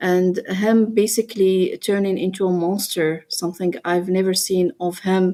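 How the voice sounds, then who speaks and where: A woman with a non-native accent speaks at a moderate pace and medium pitch in a dark, mellow tone. The recording is very clean, with a silent background. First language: not English. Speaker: interviewee, ex-wife of a public figure. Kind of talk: personal testimony. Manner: halting.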